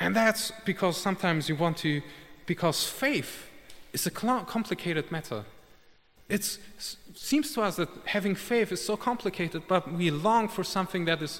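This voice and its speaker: A man with a non-native accent speaks at a moderate pace with a high pitch and lively intonation. He leaves long, frequent pauses. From Germany, of Italian parents. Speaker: war journalist giving a lay sermon. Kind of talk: sermon. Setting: church service. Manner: halting, with fillers.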